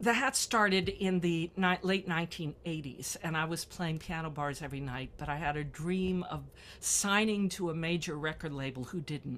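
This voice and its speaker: Her voice is fairly low for a woman, with ordinary pitch variation at a moderate pace. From US South, Memphis, Tennessee. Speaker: music instructor and pianist. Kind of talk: interview. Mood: warm, cheerful, animated. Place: home room. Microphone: webcam.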